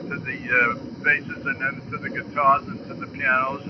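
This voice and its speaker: A man's fairly high voice at a moderate pace, with fairly even intonation over noticeable background noise. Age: 80s+. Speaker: jazz drummer. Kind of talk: interview. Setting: phone call. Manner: halting.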